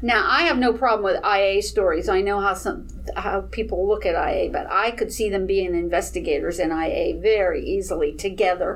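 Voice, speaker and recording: A moderate pace with hardly any pauses, over noticeable background noise. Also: woman. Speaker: fan and vidder. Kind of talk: panel discussion.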